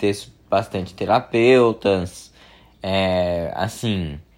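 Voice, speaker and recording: A man's pitch shifts in an ordinary way. The audio is very clean, the background silent. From Brazil, São Paulo. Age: 20s. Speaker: podcast host. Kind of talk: personal monologue. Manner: halting, many fillers.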